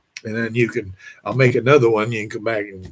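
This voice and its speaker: Somewhat breathy, a man talks in a medium pitch. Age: 80s+. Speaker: vlogger giving financial advice. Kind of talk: monologue to camera. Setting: at home. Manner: halting.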